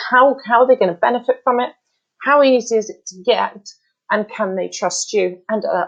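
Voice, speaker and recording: The voice has an animated tone, and its pitch swings very widely. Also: woman. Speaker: landing page consultant. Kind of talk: tutorial. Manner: fast.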